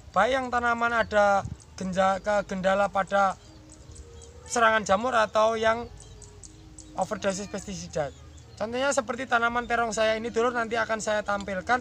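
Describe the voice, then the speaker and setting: A fairly quick voice in a Javanese accent, with music in the background. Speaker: farmer and farming channel host. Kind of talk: farming tutorial. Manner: fast speech as demonstration.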